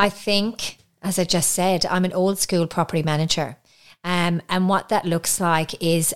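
A woman with a slight Irish accent speaks fairly low and fairly evenly at a moderate pace in a very clean recording with a silent background. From Ireland. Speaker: podcast co-host, property manager. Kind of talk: casual chat.

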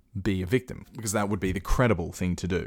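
Very clean and silent in the background, this recording features a man with an Australian accent. His pitch is very deep and low. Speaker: podcast host. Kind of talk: solo commentary. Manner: casual.

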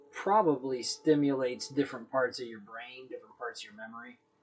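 Fairly high pitch from a man, a plain, everyday voice, ordinary pitch variation. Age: 40s. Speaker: friend of the host. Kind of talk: casual chat.

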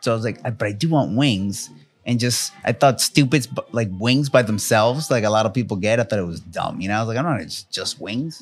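The speaker has a plain, everyday voice and a fairly quick pace. Pitch variation is ordinary. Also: man, medium pitch for a man, very clean recording, silent background. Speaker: tattoo artist podcast host. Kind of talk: casual podcast chat.

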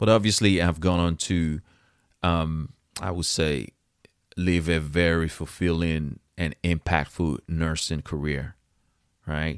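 A man's very deep, low voice at a very slow pace, with fairly even intonation and long, frequent pauses, on a very clean, silent recording with a dry, close sound and no echo. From West Africa. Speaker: nurse and podcast host. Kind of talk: solo podcast monologue. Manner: conversational, direct.

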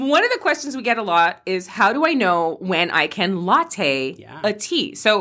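A woman speaks at a medium pitch with very wide pitch swings. Her loudness swings a lot too. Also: moderate pace, hardly any pauses. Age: 40s. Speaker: podcast host. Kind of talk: casual chat. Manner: animated.

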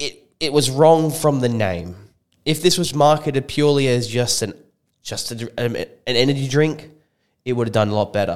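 This man speaks in an Australian accent at a moderate pace. His pitch is medium, with ordinary variation. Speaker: supplement shop co-host. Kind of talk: casual chat. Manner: laid-back, agreeable.

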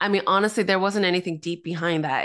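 A woman speaks in a normal speaking voice at a medium pitch, with ordinary pitch variation over a quiet background. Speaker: author and pastor. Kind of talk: casual interview chat, testimony.

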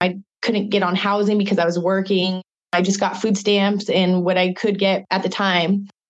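A woman of medium pitch speaks with an American accent at a fairly quick pace. Her intonation is monotone and flat. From US Pacific Northwest, Spokane, Washington. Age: 30s. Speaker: model and actress. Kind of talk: interview, personal testimony.

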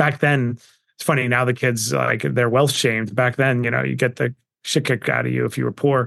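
A man with a New York accent talks at a fairly quick pace. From Queens, New York. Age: 40s. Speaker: entrepreneur and investor. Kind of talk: interview. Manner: animated.

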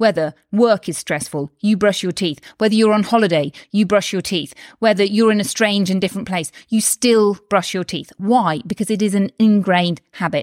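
Upbeat and animated, a woman with a British accent speaks at medium pitch and a moderate pace, with ordinary pitch variation and hardly any pauses, on a very clean, dry, close recording with a silent background and no echo. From UK. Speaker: doctor and health coach podcaster. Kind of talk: solo podcast talk, motivational. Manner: animated, upbeat.

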